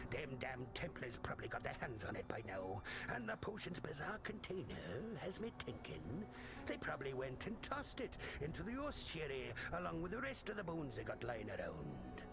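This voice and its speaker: Loud background noise surrounds a man doing a put-on character voice. He talks at a fairly quick pace. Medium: game stream. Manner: salty, folksy.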